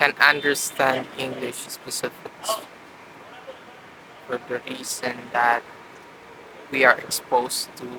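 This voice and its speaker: Amid noticeable background noise, a man with a Visayan Filipino accent and a medium pitch speaks at a very slow pace, his intonation fairly even and his pauses long and frequent. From Philippines, Mindanao (Cagayan de Oro). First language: Bisaya (Cebuano). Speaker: vlogger practicing speaking. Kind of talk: talking to camera practice monologue. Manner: halting, with fillers and repetitions.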